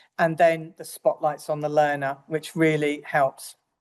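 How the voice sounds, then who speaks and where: A woman with an English accent talks at a moderate pace in a very deep, low pitch against a quiet background. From England. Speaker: nurse educator. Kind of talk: lecture.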